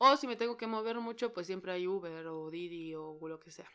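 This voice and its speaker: A woman speaks with a Mexican accent against a quiet background. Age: 30s. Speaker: podcaster. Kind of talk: casual monologue. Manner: animated.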